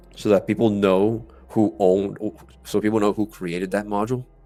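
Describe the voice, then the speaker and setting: Music plays in the background as a man talks in a fairly low pitch. His intonation stays fairly even. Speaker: gaming YouTuber. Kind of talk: video commentary review. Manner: halting, repetitive.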